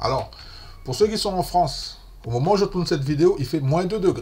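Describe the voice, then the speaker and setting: Man with a Martinican accent, vocal fry, very wide pitch swings, and a moderate pace. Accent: Martinican Antillean. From French Caribbean, Martinique. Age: 50s. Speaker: investing youtuber. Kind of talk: casual tutorial. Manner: chatty, informal.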